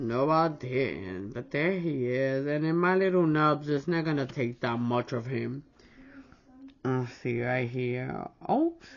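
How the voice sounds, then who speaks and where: Very slow and very deep, a woman's low-pitched voice moves with ordinary pitch variation. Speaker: nail art YouTuber. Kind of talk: casual nail stamping tutorial. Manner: loud.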